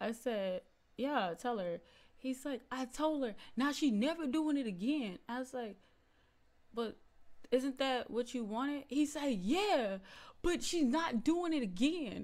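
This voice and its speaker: A woman's animated, high-pitched voice with lively intonation, fairly slow pace and long, frequent pauses. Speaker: YouTube reaction creator; reaction streamer. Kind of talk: reaction video commentary. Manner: animated, laughing often. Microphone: studio mic.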